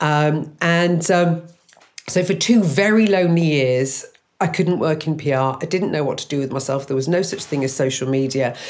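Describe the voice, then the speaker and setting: With an English accent, a woman speaks at a moderate pace in a very deep, low pitch with ordinary pitch variation, amid audible room echo. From English Midlands. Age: 50s. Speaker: matchmaking business owner. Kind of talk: interview testimony. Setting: remote studio.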